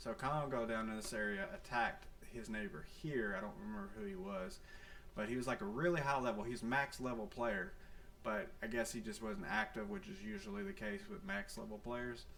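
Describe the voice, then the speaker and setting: Speech at a fairly quick pace with very wide pitch swings comes through noticeable background noise and audible room echo. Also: man, medium pitch for a man. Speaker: gaming YouTuber. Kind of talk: gameplay commentary. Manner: soft-spoken; casual, many fillers.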